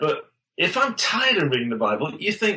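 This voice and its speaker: This man has a high-pitched voice and speaks with an English accent. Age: 50s. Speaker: pastor and author. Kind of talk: interview. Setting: podcast interview.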